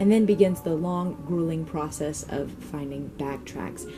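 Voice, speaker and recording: A woman talks at a moderate pace with lively intonation and a fairly low pitch. Music plays in the background. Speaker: vintage singer and reenactor. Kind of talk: voiceover vlog narration.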